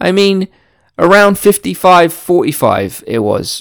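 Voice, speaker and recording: Delivered at a fairly slow pace with a British accent, this very clean recording has a silent background. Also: man. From Britain. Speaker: podcast host. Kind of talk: casual solo monologue.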